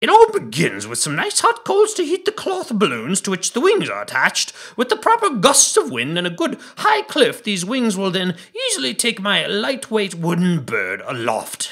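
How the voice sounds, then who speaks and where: Here a man uses a put-on character voice. His pitch sits high. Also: moderate pace. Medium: read story. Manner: excitable, courteous, long-winded.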